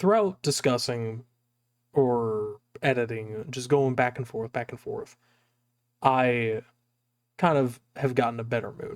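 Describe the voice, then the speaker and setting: A soft-spoken man at medium pitch talks at a fairly slow pace with ordinary pitch variation, in a dry, close sound with no echo. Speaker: streamer. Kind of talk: casual chat. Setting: home recording, thin walls.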